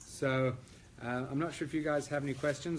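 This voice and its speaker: A man speaks with an Australian accent and fairly even intonation. There is audible room echo. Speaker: classical pianist. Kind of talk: lecture. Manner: hesitant, many fillers.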